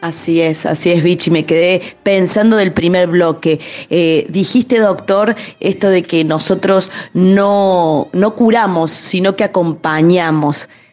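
The speech moves very slowly, with fairly even intonation and very even loudness. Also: woman, fairly low pitch for a woman. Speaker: physician, co-presenter. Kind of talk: radio interview.

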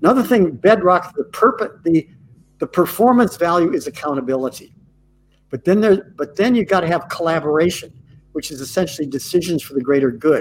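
The speech moves at a fairly quick pace with lively intonation. Its loudness swings widely. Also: man, high pitch for a man. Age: 80s+. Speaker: corporate culture consultant. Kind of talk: interview. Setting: video call.

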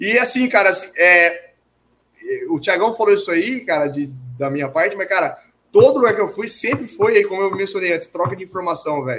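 A man's high-pitched voice, fairly quick in pace, with lively intonation. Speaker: lab owner and mass spectrometry specialist. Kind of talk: casual interview.

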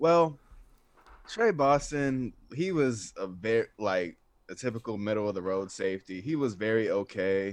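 At a fairly slow pace, a man with an American accent and a medium pitch uses lively intonation in an ordinary speaking voice, against a quiet background. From US South, North Atlanta, Georgia. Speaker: sports writer. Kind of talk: casual chat.

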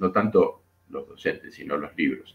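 A man speaks at a very slow pace. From Argentina. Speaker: economist and painter. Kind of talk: interview conversation. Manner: halting, with many fillers.

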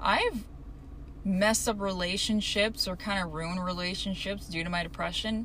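Over noticeable background noise and audible room echo, a woman speaks at medium pitch and a moderate pace with fairly even intonation. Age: 20s. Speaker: solo podcaster. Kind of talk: casual solo monologue.

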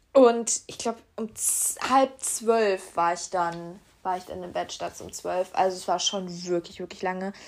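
Medium in pitch, a woman talks in an unremarkable speaking voice whose pitch varies in an ordinary way. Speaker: podcast host. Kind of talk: casual solo podcast chat. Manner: chatty, informal, with fillers.

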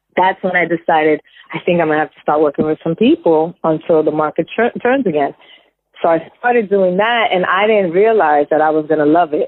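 Here a woman with an American accent uses an ordinary speaking voice, fairly low in pitch, at a fairly quick pace. Her pitch varies in an ordinary way, and her loudness swings a lot. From New York. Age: 40s. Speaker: real estate agent. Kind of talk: casual interview chat.

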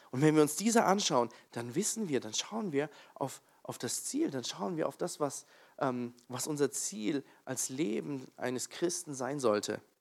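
A man's fairly high voice, fairly slow, with lively intonation. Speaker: preacher. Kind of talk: sermon in a church, opening with prayer and then teaching on Bible stories. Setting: church with congregation. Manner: conversational and slightly halting, with fillers and self-corrections.

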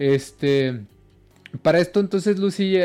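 In a Mexican accent, a man talks with lively intonation. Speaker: horror podcast co-host. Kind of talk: storytelling in casual chat. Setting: live stream. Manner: animated, laughing often.

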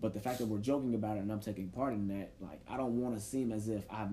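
The tone is dark and mellow, somewhat breathy. Speech runs at a fairly quick pace with ordinary pitch variation. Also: man. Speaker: podcast host; teacher. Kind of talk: casual chat.

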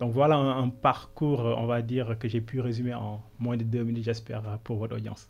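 His intonation stays monotone and flat. The man's pitch sits in the middle range, and his pace is moderate. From Senegal. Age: 30s. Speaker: business consultant. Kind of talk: interview.

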